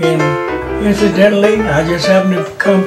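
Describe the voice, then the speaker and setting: Loud music plays in the background as a man speaks at a fairly slow pace. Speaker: retired architect and artist; army veteran. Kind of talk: interview answer, life story. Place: home room.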